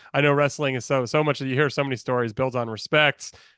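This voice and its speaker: A man with a medium pitch speaks at a fairly quick pace in an ordinary speaking voice, his intonation fairly even, and the sound is dry and close with no echo. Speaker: podcast host, wrestling book club interviewer. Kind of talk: interview questions to a guest.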